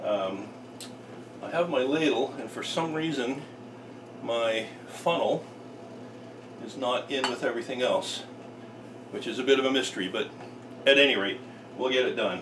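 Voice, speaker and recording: With noticeable background noise, a man speaks with long, frequent pauses. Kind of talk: tutorial. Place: kitchen. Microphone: camera far.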